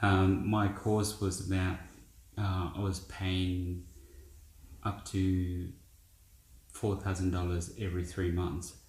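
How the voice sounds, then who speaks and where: In a room with audible echo, a man with a very deep, low pitch talks very slowly in a monotone, flat intonation, somewhat breathy, with very even loudness and long, frequent pauses. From India. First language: Indian language. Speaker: business founder. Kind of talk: interview.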